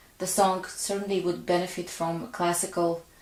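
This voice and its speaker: At a moderate pace, a woman with a non-native accent and a fairly low pitch speaks with fairly even intonation. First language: not English. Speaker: pianist and songwriter. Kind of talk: casual talk to camera.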